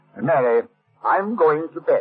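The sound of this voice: A man's put-on character voice, fairly high in pitch, husky and rough-edged, with lively intonation.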